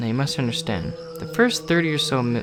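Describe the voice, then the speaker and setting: Music plays in the background while a man talks at a fairly quick pace. His pitch swings very widely. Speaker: creepypasta reader / amateur narrator. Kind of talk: horror story reading (creepypasta). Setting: home recording with a new microphone.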